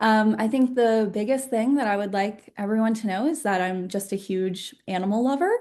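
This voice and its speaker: A woman with an American accent speaks at a moderate pace and a fairly high pitch, with ordinary pitch variation and hardly any pauses. Her tone is dark and mellow, over a quiet background. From Northern Virginia, US. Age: 20s. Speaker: mental health advocate, volunteer. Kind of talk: personal testimony. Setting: video call.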